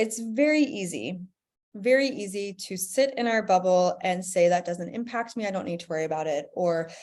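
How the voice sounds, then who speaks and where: A woman's unremarkable speaking voice with an American accent, medium in pitch, fairly quick, with lively intonation and big swings in loudness, on a very clean recording with a silent background. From United States. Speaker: professor. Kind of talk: conference presentation.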